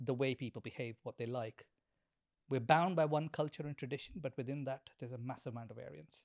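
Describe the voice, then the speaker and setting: A man speaks at medium pitch with ordinary pitch variation and a very fast pace. The sound is dry and close with no echo, and the loudness swings widely. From India. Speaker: marketing executive. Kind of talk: interview, casual chat.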